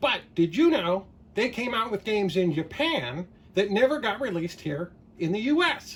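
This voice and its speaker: This is a cartoonish character voice pitched fairly high. It moves at a moderate pace. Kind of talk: casual talk to camera. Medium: puppet.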